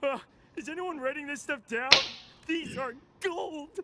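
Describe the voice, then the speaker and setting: A high-pitched cartoonish character voice comes through with sound effects playing in the background. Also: moderate pace. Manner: goofy, jokey.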